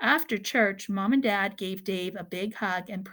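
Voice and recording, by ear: The intonation holds fairly even. It is reading aloud in a natural voice.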